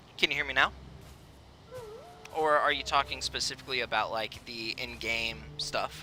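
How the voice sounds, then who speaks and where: Over music in the background, a man talks at a moderate pace and medium pitch, with very wide pitch swings and long, frequent pauses. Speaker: video game streamer. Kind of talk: live gameplay stream chat. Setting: live stream. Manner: soft-spoken; hesitant, filler-heavy.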